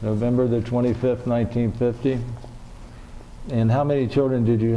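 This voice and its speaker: A man's medium-pitched, flat monotone at a moderate pace, broken by long, frequent pauses, with audible room echo and noticeable background noise. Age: 70s. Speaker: oral history interviewer. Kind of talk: oral history interview. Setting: public library.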